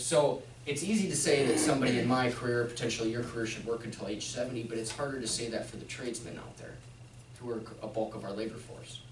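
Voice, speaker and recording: A man's very fast, fairly evenly intoned speech with big swings in loudness, audible room echo and noticeable background noise. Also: medium pitch for a man. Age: 30s. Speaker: financial advisor giving retirement workshop. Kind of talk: workshop presentation.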